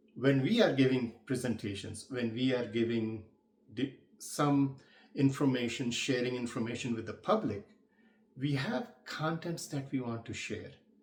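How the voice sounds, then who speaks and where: Somewhat breathy speech with a non-native accent moves at a moderate pace with ordinary pitch variation. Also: man, medium pitch for a man. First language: not English. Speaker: public speaking coach. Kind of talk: tutorial.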